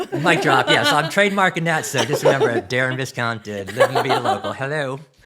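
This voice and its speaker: Fairly high-pitched and with a Philadelphia accent, a man talks at a very fast pace in an animated tone with lively intonation, over noticeable background noise. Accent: Philadelphia accent, clipped enunciation. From US Northeast, Philadelphia. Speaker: grocery category manager. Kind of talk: podcast interview.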